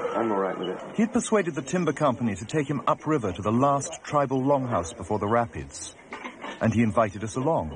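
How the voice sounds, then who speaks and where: Over noticeable background noise, the voice races along at a very fast pace with very wide pitch swings. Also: man, medium pitch for a man. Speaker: documentary filmmaker and narrator. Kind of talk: 1988 documentary narration, scripted voice-over.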